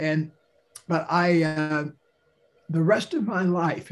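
A man's fairly high voice comes through somewhat breathy. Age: 70s. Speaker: author and speaker. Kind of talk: interview.

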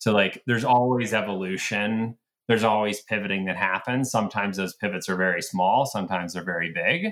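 In an American accent, a man speaks fairly quickly with an ordinary speaking voice, a fairly low pitch and ordinary pitch variation. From US South, Atlanta. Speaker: retail company founder. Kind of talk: interview conversation.

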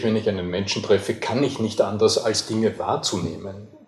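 This man's voice sits at a medium pitch. Noticeable background noise runs behind him. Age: 50s. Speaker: voice coach. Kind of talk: interview. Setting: hotel.

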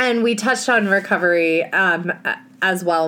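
A woman with a fairly low pitch speaks in an animated tone over noticeable background noise. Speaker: podcast co-host. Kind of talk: casual chat.

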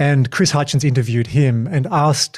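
A fairly high-pitched, somewhat breathy man with an Australian accent. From Tasmania, Australia. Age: 40s. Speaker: podcast host and keynote speaker. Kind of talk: casual interview chat.

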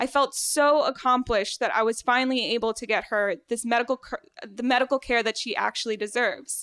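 In a dry, close sound with no echo, a woman speaks at a fairly quick pace with a high pitch, a bright, sharp tone and fairly even intonation. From Venezuela, raised in South Florida. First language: Spanish. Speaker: medical student. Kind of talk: storytelling on stage. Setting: stage with audience.

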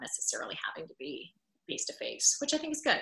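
A woman with an American accent talks very fast. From Pennsylvania. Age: 30s. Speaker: former news anchor, podcaster. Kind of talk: interview.

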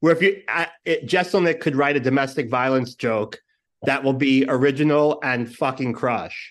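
A man with a New York accent talks at a moderate pace in a fairly high voice. His pitch varies in an ordinary way against a quiet background. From New York (Brooklyn). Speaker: podcast producer and host. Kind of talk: casual chat.

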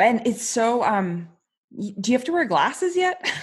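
A woman speaks at a very slow pace with lively intonation. Her voice is somewhat breathy. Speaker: podcast host. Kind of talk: casual interview. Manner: relaxed.

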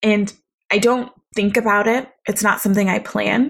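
Somewhat breathy speech at a fairly slow pace, on a very clean recording with a silent background. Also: woman. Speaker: podcast host, embodiment coach. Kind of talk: solo podcast monologue. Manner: calm, soft-spoken.

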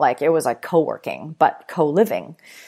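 This woman has a very deep, low pitch with ordinary pitch variation. The recording is very clean with a silent background. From Vancouver, Canada. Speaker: startup founder and CEO. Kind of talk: podcast interview.

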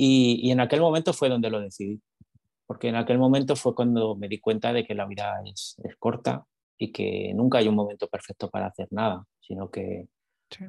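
A man speaks at a medium pitch and moderate pace, with ordinary pitch variation and a dark, mellow tone. The sound is dry and close, with no echo. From Spain, Madrid. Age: 40s. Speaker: salesman and author. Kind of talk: interview conversation. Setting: video call.

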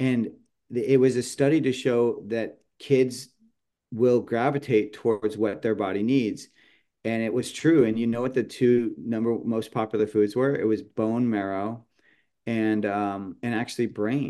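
A fairly slow pace in a dark, mellow tone with an American accent, against a quiet background. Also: man, medium pitch for a man, fairly even intonation. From California, San Jose. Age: 50s. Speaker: chef and seasoning company founder. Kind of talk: casual interview chat.

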